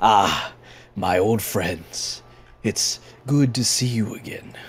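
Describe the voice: A put-on character voice booms out. It moves at a very slow pace. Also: man, medium pitch for a man.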